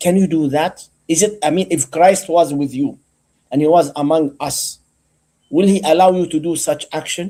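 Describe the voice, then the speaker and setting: This man has a high pitch and a dark, mellow tone. He moves at a moderate pace with ordinary pitch variation. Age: 60s. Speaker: debate panelist. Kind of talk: heated debate. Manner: insistent, repetitive.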